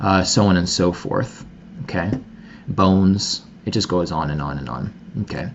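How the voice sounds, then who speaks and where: Against noticeable background noise, a man with a fairly low pitch talks at a moderate pace. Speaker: product researcher and marketing consultant. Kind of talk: product demo presentation.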